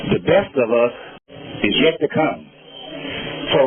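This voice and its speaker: A man's fairly high voice comes through at a moderate pace, accompanied by noticeable background noise. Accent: American. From Los Angeles. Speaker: community elder speaker. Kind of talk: public speech at outdoor event. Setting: outdoor park event. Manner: halting.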